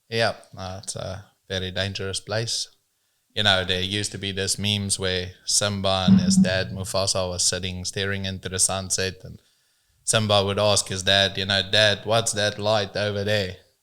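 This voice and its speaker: A man talks with a South African accent and a bright, sharp tone. His delivery is monotone and flat, at a moderate pace. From South Africa, rural farm upbringing. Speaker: business owner in transport. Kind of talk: casual podcast interview.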